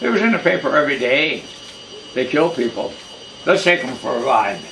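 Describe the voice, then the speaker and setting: A man speaks at a moderate pace with very wide pitch swings over noticeable background noise. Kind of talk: family storytelling.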